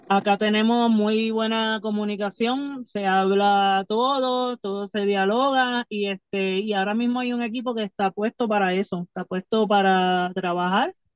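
Against a quiet background with dry sound and no echo, a woman speaks in a normal speaking voice at medium pitch, fairly slow and with hardly any pauses, her intonation fairly even. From Puerto Rico. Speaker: professional wrestler; podcast guest. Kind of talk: casual interview. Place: car. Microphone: phone near.

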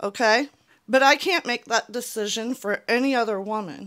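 Over a quiet background, a woman with a high pitch and a bright, sharp tone speaks at a fairly slow pace with lively intonation. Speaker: YouTuber. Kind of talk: personal vlog monologue; opinion commentary vlog. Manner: earnest, emotional. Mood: earnest, frustrated. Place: home room. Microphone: handheld.

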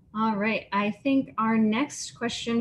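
Somewhat breathy, the voice moves at a fairly slow pace over light background noise. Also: woman. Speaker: science program manager; Q&A moderator. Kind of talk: formal announcements. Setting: video call. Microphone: video call.

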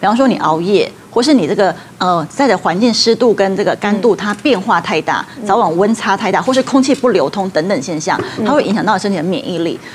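With light background noise behind her, a woman talks at a fairly quick pace with lively intonation. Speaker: traditional Chinese medicine doctor. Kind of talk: TV talk show expert explanation. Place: studio. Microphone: lapel.

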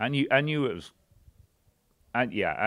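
The man talks at a fairly quick pace while the background remains quiet. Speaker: podcast guest. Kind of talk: interview answer. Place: studio. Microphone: studio mic.

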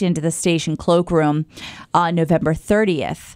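With an ordinary speaking voice, a woman talks at a fairly low pitch and a fairly slow pace. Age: 30s. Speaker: podcast co-host. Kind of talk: casual chat.

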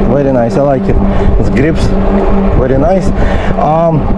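His pitch varies in an ordinary way as loud noise fills the background. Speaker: e-bike reviewer. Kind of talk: casual review commentary while riding. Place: bicycle. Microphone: phone near.

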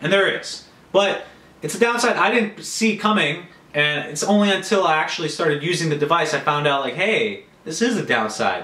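Audible room echo surrounds a man's bright, sharp tone. His pitch is fairly high and his intonation lively.

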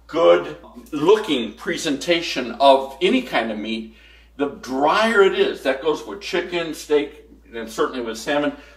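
Amid audible room echo, a man talks at a fairly slow pace with big swings in loudness. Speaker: home cook host. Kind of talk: cooking tutorial. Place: kitchen.

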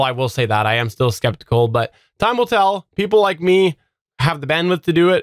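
A man with a Canadian accent talks at a moderate pace with lively intonation, the sound dry with no echo and the background quiet. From Canada. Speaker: tech and geek podcast host. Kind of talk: casual chat. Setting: live-streamed podcast recording. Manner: loud. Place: home room.

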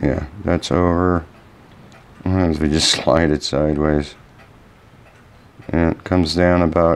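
A man speaks at a fairly slow pace with long, frequent pauses. His pitch is very deep and low, and his intonation stays fairly even. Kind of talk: tutorial. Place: workshop. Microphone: camera far.

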